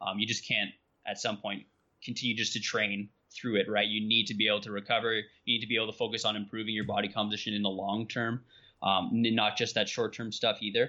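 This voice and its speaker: A man talks at a very fast pace with an Ontario accent. His fairly low pitch stays monotone and flat. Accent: Canadian (Ontario). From southwestern Ontario, Canada. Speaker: nutrition scientist and strength coach. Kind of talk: podcast interview.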